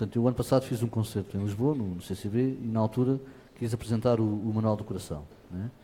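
At a very fast pace, a man with a somewhat breathy, medium-pitched voice and a dark, mellow tone talks with ordinary pitch variation. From Portugal, Lisbon area. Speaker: fado singer. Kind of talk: interview. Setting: auditorium with audience. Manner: halting.

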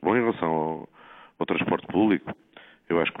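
A man talks with lively intonation. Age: 60s. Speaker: city councillor. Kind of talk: interview.

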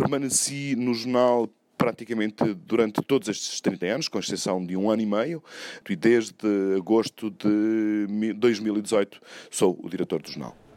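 A man talks fairly slowly in a fairly low voice with a dark, mellow tone. The sound is dry and close, without echo. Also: ordinary pitch variation, very clean recording, silent background. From Portugal, Douro region. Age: 50s. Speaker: newspaper editor. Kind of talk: interview testimony.

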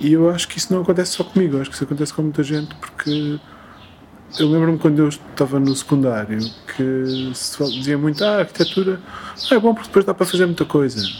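A man talks very fast in a fairly high pitch. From Portugal, Coimbra. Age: 40s. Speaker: film director and architect. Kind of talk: interview. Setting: at home in a Lisbon flat. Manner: halting, with repetitions.

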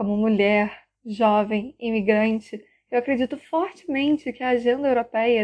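A woman with a normal speaking voice talks at a fairly slow pace, her fairly high pitch moving with ordinary variation. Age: 20s. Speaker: university student. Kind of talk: prepared opinion statement.

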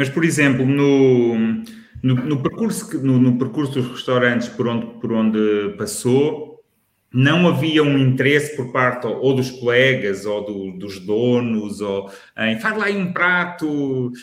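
With audible room echo, a man of medium pitch speaks at a very slow pace with lively intonation. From Lisbon, Portugal. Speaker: food critic, podcast co-host. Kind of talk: casual chat.

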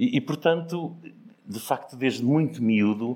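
A man's lively intonation with vocal fry, at a fairly slow pace. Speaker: businessman and foundation founder. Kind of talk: casual storytelling interview.

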